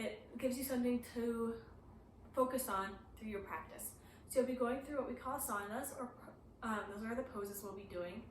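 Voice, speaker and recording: In a room with audible echo and noticeable background noise, a woman speaks at a fairly high pitch with fairly even intonation. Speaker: yoga teacher. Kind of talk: tutorial. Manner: casual, hesitant with fillers.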